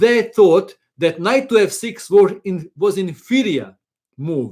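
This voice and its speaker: A man speaks with a non-native accent and lively intonation. The recording is very clean, with a silent background. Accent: foreign. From Croatia. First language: Croatian. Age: 50s. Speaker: chess teacher. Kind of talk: live stream chat. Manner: halting.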